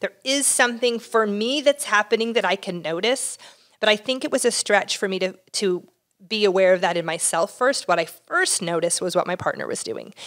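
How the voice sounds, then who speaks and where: A woman's fairly quick, fairly high-pitched speech with lively intonation. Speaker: marriage and family therapist, relationship podcast co-host. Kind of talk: casual chat about relationships. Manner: fast talker.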